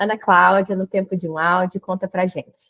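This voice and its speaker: At a moderate pace and medium pitch, a woman talks in an ordinary speaking voice. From Minas Gerais, Brazil (Uberaba). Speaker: podcast host. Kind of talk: podcast introduction.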